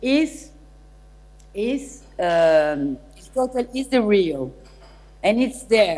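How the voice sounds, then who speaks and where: Lively intonation marks the way this woman talks. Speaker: remote guest lecturer. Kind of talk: lecture. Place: hall.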